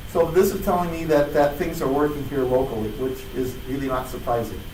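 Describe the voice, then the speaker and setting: A man with a fairly high pitch speaks at a fairly quick pace. There is audible room echo and noticeable background noise. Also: ordinary pitch variation. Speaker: conference speaker. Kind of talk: technical talk.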